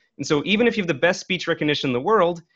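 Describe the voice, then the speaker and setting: With an American accent, a man speaks using lively intonation. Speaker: software developer. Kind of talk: interview. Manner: hesitant, many fillers.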